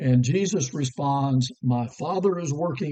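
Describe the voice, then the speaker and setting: Speaking at a fairly slow pace, a man with an American accent has a dark, mellow tone. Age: 60s. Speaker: preacher. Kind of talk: devotional talk.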